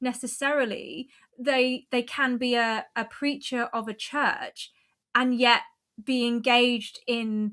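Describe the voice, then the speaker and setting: In an Essex accent, a woman speaks with a high pitch and fairly even intonation. Her pace is fairly slow, and the recording is very clean with a silent background. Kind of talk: academic, analytical.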